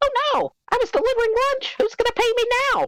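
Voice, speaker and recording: Someone uses a shrill, put-on character voice at an extremely high pitch and a fairly quick pace. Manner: distressed, whining.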